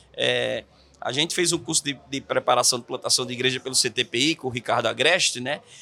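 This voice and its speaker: A man speaks with a northeastern Brazilian accent. His pace is fairly quick. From Natal, Rio Grande do Norte, Brazil. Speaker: pastor and church planter. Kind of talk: podcast interview.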